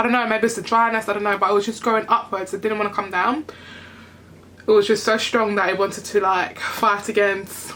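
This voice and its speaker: A woman speaks in a British accent at a fairly quick pace. Her intonation is monotone and flat, with noticeable background noise behind her. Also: medium pitch for a woman. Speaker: beauty vlogger. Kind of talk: hair care tutorial vlog. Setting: home bathroom. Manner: rambling, casual.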